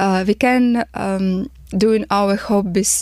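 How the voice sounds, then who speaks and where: A woman with a Ukrainian accent speaks with fairly even intonation in a very clean recording with a silent background. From Ukraine. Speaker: refugee. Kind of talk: testimony. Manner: halting.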